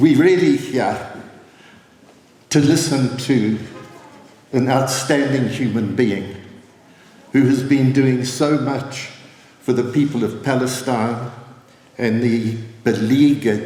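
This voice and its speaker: A man at medium pitch, very slow pace, fairly even intonation and long, frequent pauses, over noticeable background noise. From South Africa. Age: 80s+. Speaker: former government minister and activist. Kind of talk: political speech.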